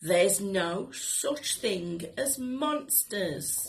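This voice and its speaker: A female-sounding, raspy put-on character voice sits at a middle pitch. The pace is very slow. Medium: read story. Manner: gruff, scoffing.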